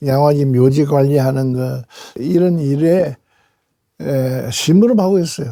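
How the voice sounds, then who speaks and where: Fairly high for a man, this voice has a dark, mellow tone and a fairly slow pace. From South Korea, Tongyeong. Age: 80s+. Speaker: retired journalist and church elder. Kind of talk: talk. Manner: halting.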